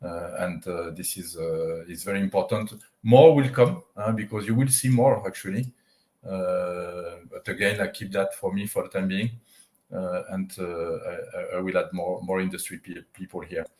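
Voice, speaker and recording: Fairly low male voice with a French accent at a moderate pace. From France. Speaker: tech company CEO. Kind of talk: interview. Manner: halting, many fillers.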